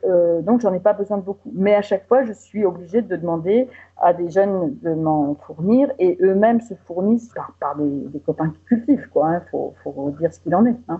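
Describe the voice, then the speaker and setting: In a plain, everyday voice, a woman at a medium pitch speaks at a moderate pace with hardly any pauses, lively intonation and big swings in loudness. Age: 60s. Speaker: patient association president. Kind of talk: interview testimony.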